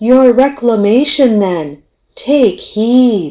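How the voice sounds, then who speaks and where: Very slowly, a female-sounding put-on character voice speaks at a high pitch. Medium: old radio play. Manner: calm, solemn.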